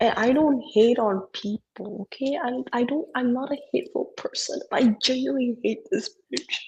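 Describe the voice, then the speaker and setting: Lively intonation marks this woman's high-pitched voice in an Indonesian accent. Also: moderate pace. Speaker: podcast co-host. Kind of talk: casual chat. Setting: live stream video call. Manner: animated.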